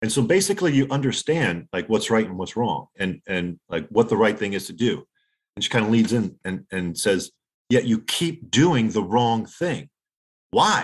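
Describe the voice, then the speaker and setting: In a New Jersey accent, a man speaks at medium pitch and a moderate pace with lively intonation over a quiet background. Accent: New Jersey American. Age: 40s. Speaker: former lawyer, poker player. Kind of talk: casual interview. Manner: halting.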